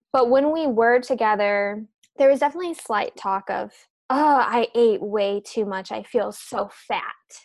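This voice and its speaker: An unremarkable speaking voice from a woman with an American accent, fairly high in pitch, with ordinary pitch variation at a moderate pace against a quiet background. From US Midwest, Chicago suburbs. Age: 20s. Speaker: self-love and mindset coach. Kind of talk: casual interview.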